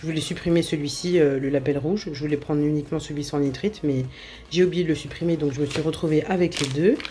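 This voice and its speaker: A woman with a very deep, low pitch and a dark, mellow tone talks at a fairly quick pace with fairly even intonation. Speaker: cooking vlogger. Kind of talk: casual vlog chat. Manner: hesitant, many fillers.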